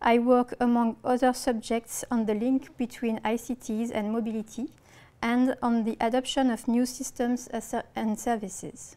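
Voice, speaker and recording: In a strong French accent, a woman speaks at a high pitch with a dark, mellow tone. Her delivery is monotone and flat at a moderate pace. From France. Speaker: researcher. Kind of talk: lecture. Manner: reading from script.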